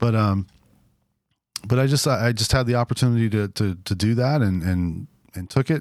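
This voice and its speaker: A man with an American accent speaks at a moderate pace, his medium pitch showing ordinary variation. He leaves long, frequent pauses, and the sound is dry and close with no echo. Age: 40s. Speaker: drummer and church planter. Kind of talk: interview.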